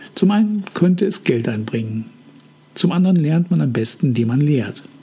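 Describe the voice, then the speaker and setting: A man speaks fairly quickly, his pitch swinging very widely, with noticeable noise in the background. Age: 50s. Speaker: podcast host, hobby author. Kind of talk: scripted monologue. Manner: formal.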